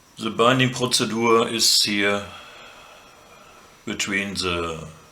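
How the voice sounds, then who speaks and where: A man with a non-native accent speaks at a very slow pace with ordinary pitch variation. There is noticeable background noise. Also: medium pitch for a man. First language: German. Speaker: drone hobbyist. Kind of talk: tutorial talk to camera.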